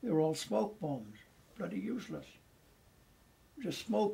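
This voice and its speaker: A dark, mellow tone marks this voice. There is a somewhat breathy quality to it. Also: man. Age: 80s+. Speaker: war veteran. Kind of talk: interview storytelling. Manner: animated.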